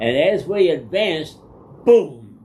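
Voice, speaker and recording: A man speaks in a somewhat breathy voice. Audible room echo surrounds it. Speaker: war veteran. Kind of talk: casual chat.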